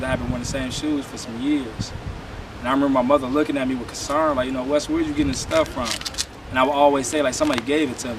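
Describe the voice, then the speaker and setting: Medium-pitched male speech with fairly even intonation, noticeable background noise and audible room echo. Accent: American. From US Midwest, Cleveland, Ohio. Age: 30s. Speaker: interviewee telling life story. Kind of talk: personal testimony interview. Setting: interview in Cleveland.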